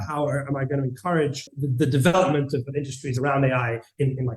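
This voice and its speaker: Somewhat breathy, a man talks at a fairly quick pace with fairly high pitch. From Greece. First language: Greek. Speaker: tech company CEO. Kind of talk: interview. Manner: halting, many fillers and repetitions.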